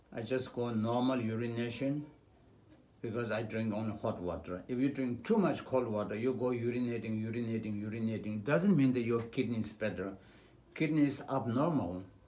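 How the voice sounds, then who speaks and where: A man's medium-pitched, dark, mellow voice with ordinary pitch variation at a moderate pace, with audible room echo. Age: 70s. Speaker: traditional medicine doctor. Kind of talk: health talk. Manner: hesitant, with fillers.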